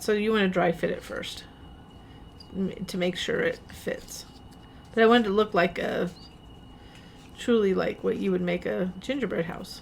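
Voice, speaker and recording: A woman speaks at a moderate pace with a medium pitch and fairly even intonation. She leaves long, frequent pauses. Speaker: craft tutorial maker. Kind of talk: tutorial. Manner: rising intonation, sounds like asking questions; casual, halting with fillers.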